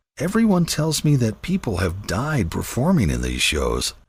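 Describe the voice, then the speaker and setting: A man puts on a character voice at a medium pitch. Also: moderate pace. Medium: read story.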